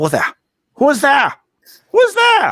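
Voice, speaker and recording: The speaker puts on a character voice in a German accent. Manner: startled.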